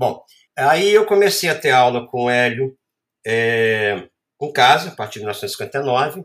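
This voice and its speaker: Here a man speaks at a medium pitch with very wide pitch swings. His pace is very slow. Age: 60s. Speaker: photographer and art professor. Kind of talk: interview storytelling.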